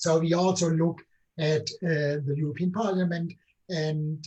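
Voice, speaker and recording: Speaking at a moderate pace with a German accent, a man has a fairly high voice with a dark, mellow tone and fairly even intonation. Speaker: political scientist, book co-author. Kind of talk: academic book discussion. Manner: hesitant, many fillers.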